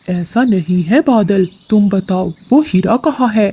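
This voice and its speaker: A man performs a cartoonish character voice, pitched high. He talks at a moderate pace. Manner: calm, knowing.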